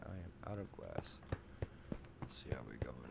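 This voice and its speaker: Soft-spoken and very deep in pitch, a man talks at a moderate pace. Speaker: gaming video creator. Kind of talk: gameplay commentary. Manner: quiet, soft-spoken.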